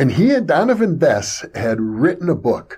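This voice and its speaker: A man with a fairly high pitch and a relaxed tone uses very wide pitch swings, with vocal fry. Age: 70s. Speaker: online video host on parapsychology and consciousness. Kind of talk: solo monologue. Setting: recorded video monologue. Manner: reflective, relaxed with hesitations.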